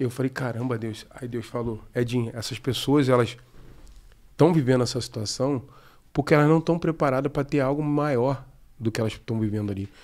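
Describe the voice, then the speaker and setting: A man's pitch moves in an ordinary way as he talks. His pace is moderate, and the background is quiet. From Brazil, Rio de Janeiro state (Araruama); Rio de Janeiro state, Brazil. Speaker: former footballer and football coach; football coach. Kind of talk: testimony. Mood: relaxed, earnest testimony. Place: studio. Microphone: studio mic.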